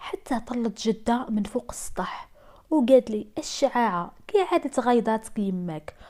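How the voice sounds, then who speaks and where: A woman with an Algerian accent and a dark, mellow tone. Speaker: storyteller. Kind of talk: first-person true-story narration.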